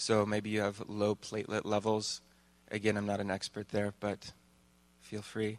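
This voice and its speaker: A man's fairly low voice, flat and monotone, at a moderate pace over a quiet background. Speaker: church member. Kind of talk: prayer ministry. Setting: church.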